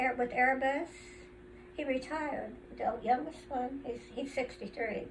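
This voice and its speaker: A woman with a high-pitched voice speaks at a fairly slow pace with fairly even intonation and long, frequent pauses, over noticeable background noise. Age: 80s+. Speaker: centenarian family elder interviewed. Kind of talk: casual family interview. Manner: halting.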